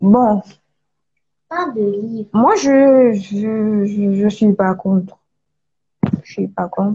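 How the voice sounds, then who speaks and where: A woman speaks at a very slow pace in a somewhat breathy voice, with long, frequent pauses. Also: medium pitch for a woman, ordinary pitch variation. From Gabon. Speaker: author. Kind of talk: live stream interview. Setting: online live video call.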